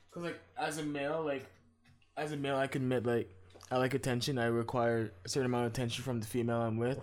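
Over music in the background, a man with a medium-pitched voice talks at a very fast pace with fairly even intonation. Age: 20s. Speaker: podcast co-host. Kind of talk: casual chat.

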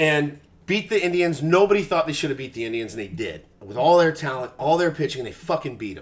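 Using a plain, everyday voice with an American accent, a man speaks at a fairly quick pace with a fairly high pitch, lively intonation and big swings in loudness. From Texas. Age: 40s. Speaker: sports radio host. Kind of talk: casual chat.

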